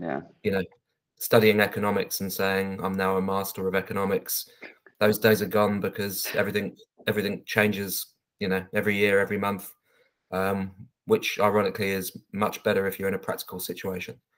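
A man with a fairly low pitch and monotone, flat intonation, speaking at a fairly quick pace over a quiet background. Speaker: council interviewee. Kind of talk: interview answer. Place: home room. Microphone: webcam.

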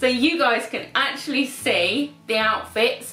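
Faint music plays behind a woman speaking at a fairly slow pace. Audible room echo is present. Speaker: style vlogger. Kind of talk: casual vlog chat. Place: home room.

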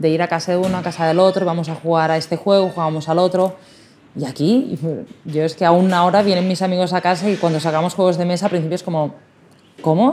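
A woman speaks at a very fast pace with a fairly low pitch and a dark, mellow tone. Her pitch variation is ordinary, with light background noise. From Spain. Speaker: toy shop owner; interviewee. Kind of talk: interview. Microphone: lapel.

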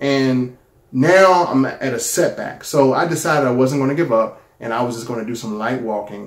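There is audible room echo around a man speaking at a moderate pace. His pitch is medium with ordinary variation. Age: 40s. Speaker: YouTuber sharing a product testimonial. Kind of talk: personal testimony. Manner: casual, conversational. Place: home room. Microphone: phone near.

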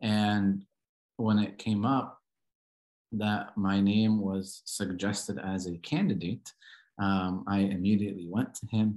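Speaking with an American accent, a man talks very slowly in a fairly low pitch, his intonation monotone and flat. Long, frequent pauses break up his speech against a quiet background. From Southern California. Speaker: Coptic Orthodox priest; guest. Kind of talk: lecture; presentation and interview answer. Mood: calm, earnest. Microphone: video call.

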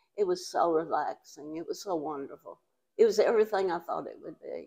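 A woman with an East Texas accent, a fairly quick pace and big jumps in volume. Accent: East Texas Southern American. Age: 80s+. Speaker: retired English and drama teacher. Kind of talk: interview answer. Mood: happy, dreamy. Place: home room.

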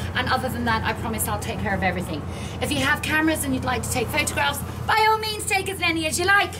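Over noticeable background noise, a woman talks at a very fast pace. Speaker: mine museum tour guide. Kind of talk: tour guide presentation. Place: station. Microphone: camera far.

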